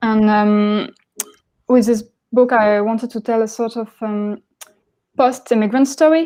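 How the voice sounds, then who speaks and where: A woman with a French accent speaks at a fairly slow pace, leaving long, frequent pauses. Her pitch is fairly high, her intonation fairly even, and her tone dark and mellow. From France, Paris. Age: 20s. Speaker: graphic novelist. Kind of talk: panel discussion. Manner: halting.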